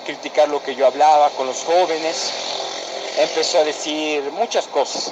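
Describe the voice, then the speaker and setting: A man with an Ecuadorian accent speaks at a fairly high pitch. His pace is fairly slow, with noticeable background noise. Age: 20s. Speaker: former church youth leader. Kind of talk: personal testimony.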